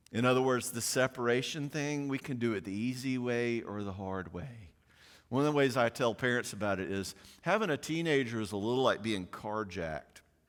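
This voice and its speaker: A man with a Southern US accent speaks fairly quickly in an animated tone, at medium pitch with ordinary pitch variation. The recording is very clean, with a silent background. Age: 60s. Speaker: psychologist speaking on parenting. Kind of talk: conference talk. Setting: conference with live audience. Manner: fast.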